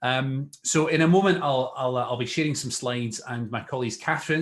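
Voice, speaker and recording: A man with a Scottish accent talks at a very fast pace with fairly even intonation. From Scotland. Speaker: local councillor. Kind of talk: webinar presentation. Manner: hesitant, many fillers.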